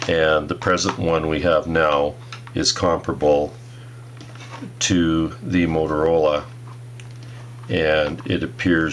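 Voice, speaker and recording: Through noticeable background noise, a man speaks at a very slow pace in a very deep, low pitch. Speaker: product reviewer. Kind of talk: tutorial. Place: workshop. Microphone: phone near.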